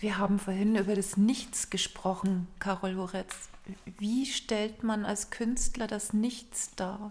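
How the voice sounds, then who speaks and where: A woman speaks at a very slow pace with a medium pitch. Her voice is somewhat breathy, with fairly even intonation. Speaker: art society representative, co-host. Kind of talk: interview. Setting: gallery.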